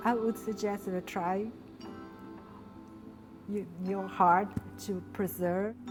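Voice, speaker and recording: A woman speaks at a very slow pace in a medium pitch, with a flat, monotone delivery. Long pauses come often, and music plays in the background. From São Paulo, Brazil. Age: 40s. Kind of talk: interview answer.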